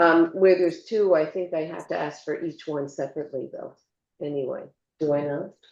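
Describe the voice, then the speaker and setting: A woman's plain, everyday voice, fairly low-pitched, fairly quick, with fairly even intonation and big swings in loudness. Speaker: mayor chairing council meeting. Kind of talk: council meeting chairing.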